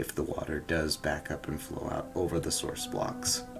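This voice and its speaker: The voice is quiet and moves at a moderate pace. Noticeable noise fills the background. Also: man. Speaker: gaming YouTuber. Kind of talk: gameplay commentary. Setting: home living room, early morning. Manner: quiet, early-morning talk; hesitant, many fillers.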